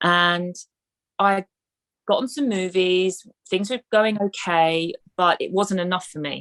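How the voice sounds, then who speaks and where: A woman's medium-pitched voice with a London accent, ordinary pitch variation, and a dry, close sound with no echo. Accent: British (London). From Southeast London, England. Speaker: actress and film producer. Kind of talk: interview. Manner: halting, many fillers and repetitions.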